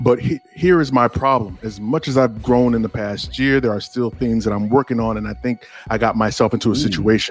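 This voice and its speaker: Over music in the background, a man with a medium pitch talks at a fairly quick pace with hardly any pauses and ordinary pitch variation. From Africa. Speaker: podcast co-host. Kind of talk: casual chat.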